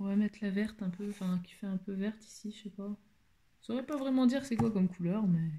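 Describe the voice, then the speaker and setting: The voice is quiet and moves at a fairly quick pace. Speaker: beauty vlogger. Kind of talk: makeup tutorial. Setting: at home, shutters closed. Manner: speaking quietly; halting, many hesitations.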